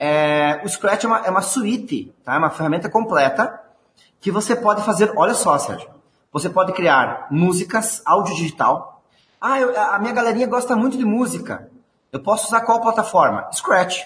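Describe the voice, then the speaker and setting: With a Rio Grande do Sul accent, a man speaks at a high pitch and a moderate pace. His intonation is lively. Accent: gaúcho. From southern Brazil, Rio Grande do Sul. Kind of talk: interview.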